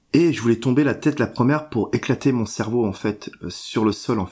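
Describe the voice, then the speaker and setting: The pitch of this man's voice is medium. It rises and falls in an ordinary way. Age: 40s. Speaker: patient sharing mental illness story. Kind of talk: testimony. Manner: halting.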